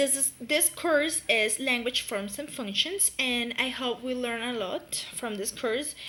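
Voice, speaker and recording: The voice carries a Spanish accent and ordinary pitch variation. It moves at a fairly slow pace. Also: woman. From Colombia, Pereira. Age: 20s. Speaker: university student. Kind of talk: class presentation. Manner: halting, many fillers.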